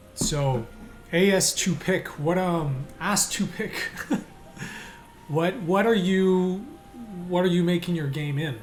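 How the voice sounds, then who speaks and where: At a very slow pace with long, frequent pauses, a man speaks in a high voice with ordinary pitch variation, amid audible room echo and noticeable background noise. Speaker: indie game developer and streamer. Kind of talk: live stream commentary while working. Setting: live stream from home desk. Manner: hesitant, many repeats and fillers.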